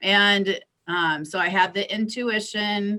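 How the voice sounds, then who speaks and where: A woman speaks at a medium pitch with an American accent. Her tone is bright and sharp, with lively intonation. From US Midwest, Iowa. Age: 60s. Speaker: astrologer and psychic. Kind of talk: interview.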